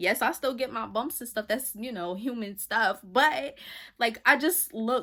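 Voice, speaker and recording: Speaking fairly slowly, a woman uses a fairly high pitch with a bright, sharp, animated tone. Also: ordinary pitch variation, very clean recording, silent background. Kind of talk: casual faith talk.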